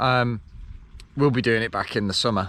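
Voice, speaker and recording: A man with an English accent and ordinary pitch variation, on a very clean recording with a silent background. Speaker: cycling vlogger. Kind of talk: vlog monologue. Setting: outdoors cycling, then in car. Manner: casual, rambling.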